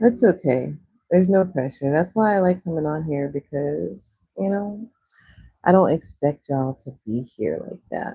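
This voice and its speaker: Speaking with a Texas accent at a moderate pace, a woman with a very deep, low pitch and a dark, mellow tone makes very wide pitch swings and big swings in loudness, in a dry, close sound with no echo. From Texas, Houston. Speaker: livestreamer. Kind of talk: casual livestream chat while drawing. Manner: casual, chatty.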